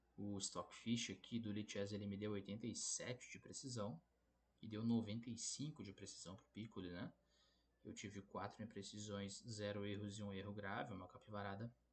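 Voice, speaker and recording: Here a man with an unremarkable speaking voice talks at a moderate pace and fairly low pitch, keeping his intonation fairly even. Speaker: chess player and YouTuber. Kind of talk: chess game analysis video. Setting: borrowed laptop, tournament lodging.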